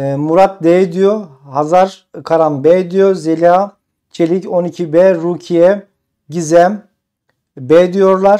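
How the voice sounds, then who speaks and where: Against a quiet background, a man with a high pitch and a dark, mellow tone speaks very slowly with fairly even intonation. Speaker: exam prep instructor. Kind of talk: live stream tutorial. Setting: live stream. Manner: conversational. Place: home room. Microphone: lapel.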